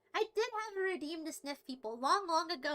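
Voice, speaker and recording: At a fairly quick pace, a woman speaks in a raised, projected voice. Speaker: livestreamer. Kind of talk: casual livestream chat reading chat. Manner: animated.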